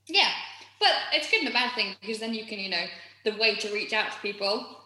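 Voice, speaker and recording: A woman talks at a fairly quick pace with fairly even intonation. Audible room echo and noticeable background noise surround her voice. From Yorkshire. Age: 30s. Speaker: musical theatre performer. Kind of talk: casual chat.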